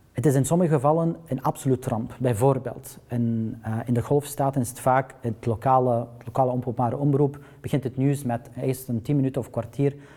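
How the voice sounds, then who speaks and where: Somewhat breathy and dark, mellow in tone, a man speaks at a fairly quick pace with medium pitch, fairly even intonation and hardly any pauses. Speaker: journalist at public broadcaster news desk. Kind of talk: panel discussion. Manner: halting.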